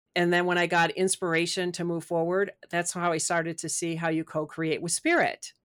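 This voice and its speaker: A woman talks at a fairly quick pace with hardly any pauses, in an American accent, her pitch fairly low and her intonation monotone and flat. The recording is very clean with a silent background and a dry, close sound with no echo. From US Midwest. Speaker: spiritual author and coach. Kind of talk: interview.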